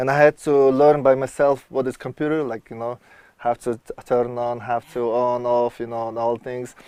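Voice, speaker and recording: A man with a Mongolian accent, medium pitch, monotone and flat intonation, a moderate pace, big swings in loudness and a dry, close sound with no echo. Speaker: electronic music producer and world traveler. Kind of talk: TV interview. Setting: outdoors at a river resort. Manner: halting, searching for English words.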